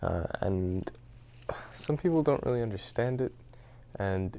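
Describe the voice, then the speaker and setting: A soft-spoken man with a dark, mellow tone at a moderate pace. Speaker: speedrun tutorial maker. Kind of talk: tutorial. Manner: halting, many fillers.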